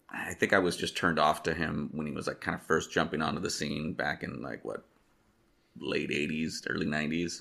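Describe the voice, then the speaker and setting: Bright and sharp yet very deep and low, a man's voice with vocal fry moves at a fairly quick pace with fairly even intonation. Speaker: podcast co-host. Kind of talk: casual chat.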